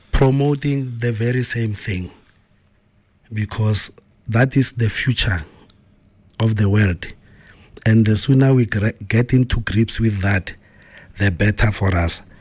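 Somewhat breathy and at a medium pitch, a man talks at a fairly slow pace with long, frequent pauses and ordinary pitch variation. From South Africa, Pretoria township. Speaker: forensic auditor and DJ. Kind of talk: interview. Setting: studio.

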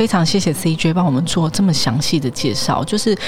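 Lively intonation at a fairly quick pace, with music in the background. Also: woman. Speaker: podcast host. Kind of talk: interview.

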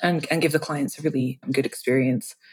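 A dark, mellow tone with an English accent, delivered at a moderate pace. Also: woman. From England (London). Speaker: wedding videographer. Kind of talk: casual interview. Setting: video call.

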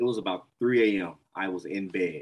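A Mississippi accent with fairly even intonation. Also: man. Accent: Southern US (Mississippi). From Mississippi, US South. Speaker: entrepreneur, production company founder. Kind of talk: interview conversation. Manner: halting, many fillers and repetitions.

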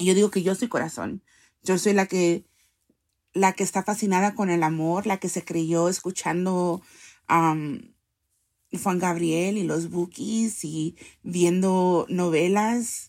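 In a very clean recording with a silent background, a woman speaks very slowly at a medium pitch, her intonation fairly even and her pauses long and frequent. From US, Salvadoran parents. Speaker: poet and activist. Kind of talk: interview. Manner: code-switching Spanish and English.

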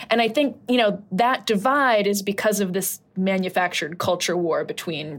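A woman with a plain, everyday voice and medium pitch speaks at a fairly slow pace on a very clean recording with a silent background. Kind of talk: casual chat.

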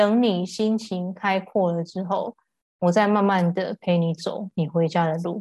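Speaking at a fairly slow pace, a woman has a medium-pitched, somewhat breathy voice with a dark, mellow tone and fairly even intonation, recorded dry and close with no echo. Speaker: voice healer. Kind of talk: casual chat. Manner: calm, gentle.

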